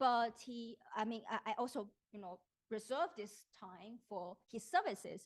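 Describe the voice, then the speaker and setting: Woman with a fairly high pitch, dry, close sound with no echo. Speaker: philosophy professor. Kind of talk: academic talk. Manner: hesitant, many fillers.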